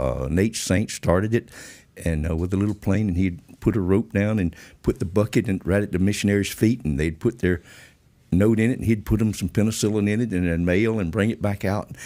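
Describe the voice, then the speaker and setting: A man's fairly low, dark, mellow voice at a fairly quick pace, ordinary pitch variation, on a very clean recording with a silent background. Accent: Georgia. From Georgia, US South. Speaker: former drug smuggler and pilot. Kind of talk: interview storytelling. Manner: classy, refined speech.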